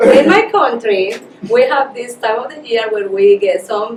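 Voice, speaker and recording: Amid noticeable background noise, a woman with a strong Colombian accent speaks at a fairly slow pace, her fairly high voice full of lively intonation. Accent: heavy Colombian Spanish. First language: Spanish. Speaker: Spanish teacher. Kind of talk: casual interview.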